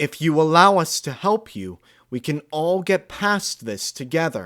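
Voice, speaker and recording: Putting on a character voice, a man speaks in a raised, projected voice at a fairly high pitch with lively intonation. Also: moderate pace. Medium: read story. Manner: regal, authoritative.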